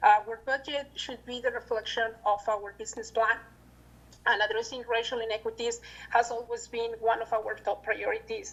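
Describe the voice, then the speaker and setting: Over noticeable background noise, a woman speaks at a moderate pace in a fairly high pitch. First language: not English. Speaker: council president. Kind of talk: council meeting deliberation. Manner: reading prepared notes.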